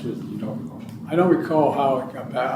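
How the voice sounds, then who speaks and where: A man with an American accent at a moderate pace, lively intonation, and noticeable background noise behind him. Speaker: former president. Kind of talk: interview answer. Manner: halting, long pauses, occasional slurring.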